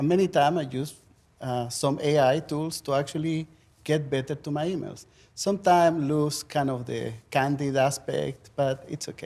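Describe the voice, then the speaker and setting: With a strong Chilean accent, a man speaks at a moderate pace in a fairly high pitch, with a dark, mellow tone and fairly even intonation. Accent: thick Chilean Spanish. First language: Spanish. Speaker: professor. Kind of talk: panel discussion.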